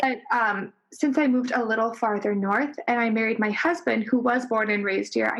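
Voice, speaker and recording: The speech moves at a fairly quick pace with hardly any pauses, very even loudness and ordinary pitch variation. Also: woman, fairly high pitch for a woman. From Minnesota, parents from Illinois. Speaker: podcast guest.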